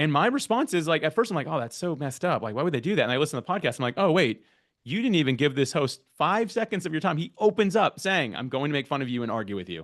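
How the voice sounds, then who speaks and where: A loud man talks at a very fast pace with hardly any pauses, his fairly high pitch making very wide swings. Behind him the background is quiet. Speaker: podcast guest-matching platform founder. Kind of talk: workshop talk. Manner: loud and fast; stumbles over words.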